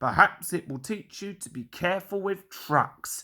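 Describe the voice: A man puts on a high-pitched character voice with a bright, sharp tone. He speaks at a fairly slow pace with lively intonation.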